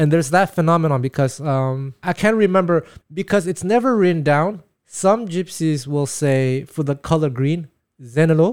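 A man's fairly high voice with lively intonation at a moderate pace, in a very clean recording with a silent background. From Quebec, Canada. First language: Taiwanese. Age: 40s. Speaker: jazz guitarist and teacher. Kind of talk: casual conversational interview. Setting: studio. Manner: swallows syllables.

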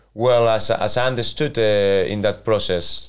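A man speaks with a Spanish accent at a fairly slow pace. The recording is very clean, with a silent background. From Spain, Valencia. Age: 40s. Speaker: football manager. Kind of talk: interview. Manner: halting.

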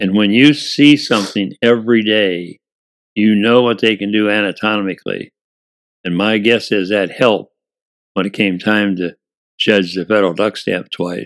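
A man speaks at a moderate pace with a Midwestern American accent, his pitch fairly low and his intonation fairly even. The recording is very clean, with a silent background. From US Midwest, Indiana. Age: 80s+. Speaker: retired baseball player and wood carver. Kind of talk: casual interview.

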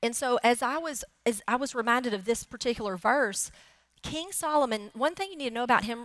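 This woman has a plain, everyday voice, pitched fairly high with ordinary pitch variation. She talks at a fairly quick pace. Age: 40s. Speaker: pastor. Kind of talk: sermon.

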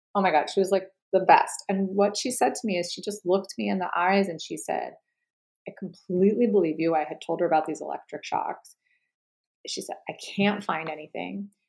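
With vocal fry, the voice moves at a fairly quick pace with ordinary pitch variation. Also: woman, medium pitch for a woman. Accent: American. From New York. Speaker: writer and poet. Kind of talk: interview.

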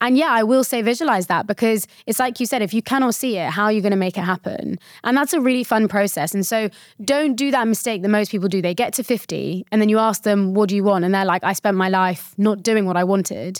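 Speaking at a very fast pace, a woman with a British accent uses a medium pitch and ordinary pitch variation. The recording is very clean and silent behind her, with a dry, close sound and no echo. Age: 20s. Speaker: mental fitness coach and founder. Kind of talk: casual interview chat.

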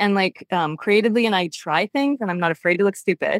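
An ordinary speaking voice with a Canadian accent and ordinary pitch variation comes through with a dry, close sound with no echo. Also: woman. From Ontario, Canada. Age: 40s. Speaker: dancer and dance educator. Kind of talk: casual interview.

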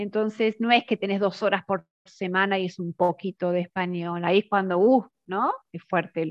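A woman's medium-pitched voice in an Argentine accent, with fairly even intonation. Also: moderate pace. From Argentina, Mar del Plata. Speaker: language teacher. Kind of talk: casual chat.

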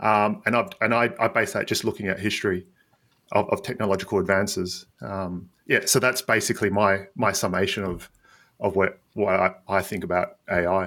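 The tone is bright and sharp, with a moderate pace and fairly even intonation. The recording is very clean with a silent background. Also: man, fairly low pitch for a man. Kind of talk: casual panel discussion.

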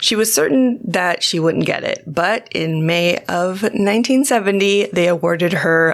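A woman talks at a very slow pace with hardly any pauses. Her loudness stays very even, with ordinary pitch variation. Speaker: podcast co-host, film photographer. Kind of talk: casual chat. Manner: animated; casual, swears often, laughs a lot.

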